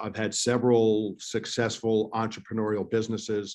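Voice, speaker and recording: With an American accent, a man speaks in a plain, everyday voice at a medium pitch and a moderate pace. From New York, US. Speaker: entrepreneur, author and advisor. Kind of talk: interview, conversational storytelling. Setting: video call, remote.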